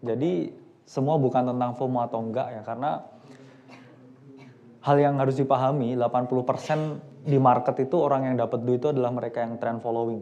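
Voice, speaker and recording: Delivered with fairly even intonation, the words come at a fairly quick pace. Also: man. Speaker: investment expert on a panel. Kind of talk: panel discussion. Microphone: microphone just switched on, may be quiet.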